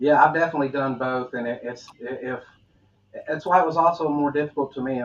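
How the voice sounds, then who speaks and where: Through noticeable background noise, a man with a Southern US accent speaks at a very fast pace with fairly even intonation. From US South. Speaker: podcast host. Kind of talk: interview conversation. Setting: live online video interview.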